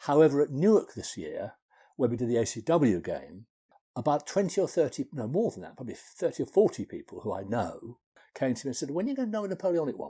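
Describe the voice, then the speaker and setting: A man with a dark, mellow tone and vocal fry talks at a very fast pace, his fairly high pitch swinging very widely and his loudness shifting a lot, all on a very clean recording with a silent background. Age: 70s. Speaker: wargaming hobbyist. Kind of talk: casual interview chat. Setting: in person at home.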